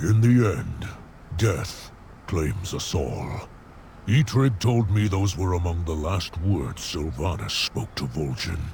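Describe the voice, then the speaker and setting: Someone uses a put-on character voice with a solemn tone. The pace is fairly slow, and background noise is clearly heard. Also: man, very deep, low pitch for a man. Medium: video game. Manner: gruff, solemn.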